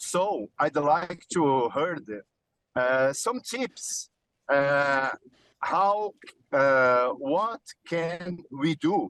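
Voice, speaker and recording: A man's fairly high voice with a Portuguese accent, at a very slow pace with long, frequent pauses, lively intonation and a dry, close sound with no echo. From Brazil. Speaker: TV show presenter. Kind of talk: virtual press event Q&A. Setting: on the road. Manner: halting, many fillers.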